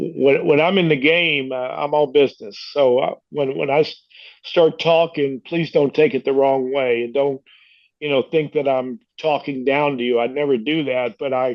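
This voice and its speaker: Speaking with an American accent, a man uses a fairly high pitch and fairly even intonation. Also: moderate pace. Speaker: former baseball manager and coach. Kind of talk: casual interview chat. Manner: halting, many fillers.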